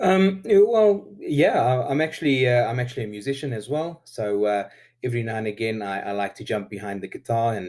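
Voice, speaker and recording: A man with a South African accent, medium pitch and lively intonation at a fairly quick pace, on a very clean recording with a silent background. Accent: Afrikaans South African English. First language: Afrikaans. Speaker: YouTube metal detectorist. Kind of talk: interview. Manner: hesitant with many fillers.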